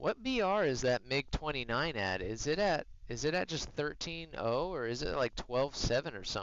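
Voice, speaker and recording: A man at a moderate pace, a normal speaking voice, medium pitch. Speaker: streamer, military veteran. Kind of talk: live gameplay stream chat. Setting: live stream. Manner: casual, conversational.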